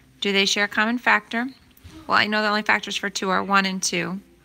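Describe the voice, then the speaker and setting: On a very clean recording with a silent background, a woman with a bright, sharp tone speaks at medium pitch and a fairly quick pace in monotone, flat intonation. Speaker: math teacher. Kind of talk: tutorial.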